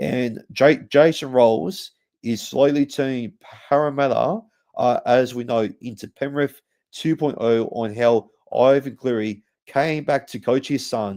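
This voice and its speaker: A dark, mellow tone with an Australian accent, ordinary pitch variation and a fairly slow pace. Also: man, medium pitch for a man. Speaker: rugby league podcast host. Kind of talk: sports preview podcast. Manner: halting, many fillers.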